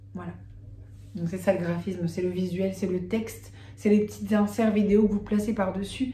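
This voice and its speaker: A woman speaks at a moderate pace. She leaves long pauses, and they come often. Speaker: video creator. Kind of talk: tutorial. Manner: hesitant fillers.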